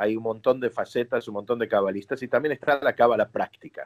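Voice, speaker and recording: A normal speaking voice with ordinary pitch variation and a dry, close sound with no echo. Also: man. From Argentina (Buenos Aires), born in New York. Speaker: rabbi. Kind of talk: interview.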